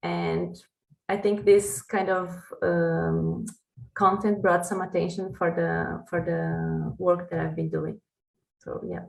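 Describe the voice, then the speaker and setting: Very slow and very deep in pitch, a woman with a Brazilian accent speaks with very wide pitch swings. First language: Portuguese. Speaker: PhD researcher in food sustainability. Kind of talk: podcast interview. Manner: halting.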